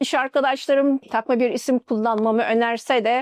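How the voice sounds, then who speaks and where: A woman with an Arabic accent speaks in a high pitch at a fairly slow pace with monotone, flat intonation, in a dry, close sound with no echo. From Turkey, Mardin then Istanbul. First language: Arabic (speaking Turkish). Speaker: engineer. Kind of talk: interview testimony.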